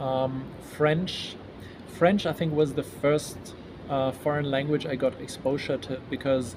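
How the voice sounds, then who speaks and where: A man with a German accent talks fairly slowly at a fairly high pitch and fairly even intonation, leaving long, frequent pauses amid noticeable background noise. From Germany. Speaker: event organizer. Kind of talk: interview. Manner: halting.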